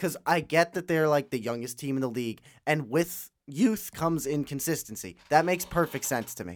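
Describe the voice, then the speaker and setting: Lively intonation marks this man's fairly high voice, an unremarkable speaking voice. He keeps a moderate pace with hardly any pauses. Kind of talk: casual fan podcast banter. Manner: chatty, stumbling, overlapping.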